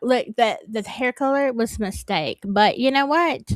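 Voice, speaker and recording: Speaking at a moderate pace, a woman uses a high pitch and lively intonation. The recording is very clean and dry, close and without echo, with a silent background. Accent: Southern US. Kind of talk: casual livestream chat. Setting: livestream. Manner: halting.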